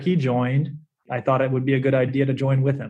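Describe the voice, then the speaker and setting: Somewhat breathy, a man with an American accent speaks at a moderate pace and a fairly high pitch. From US South, South Carolina. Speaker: startup lawyer. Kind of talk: interview.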